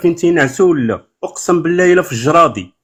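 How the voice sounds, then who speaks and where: The man's pitch rises and falls in an ordinary way. He keeps a moderate pace. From Morocco. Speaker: caller. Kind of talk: casual chat. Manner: animated.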